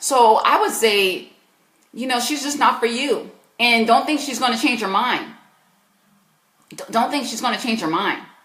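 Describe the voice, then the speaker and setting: Speaking with an American accent at a moderate pace, a woman uses a high pitch with ordinary variation and an animated tone. Her loudness swings widely, she takes long, frequent pauses, and audible room echo surrounds her. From US South, South Carolina. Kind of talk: live Q&A advice stream. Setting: live stream.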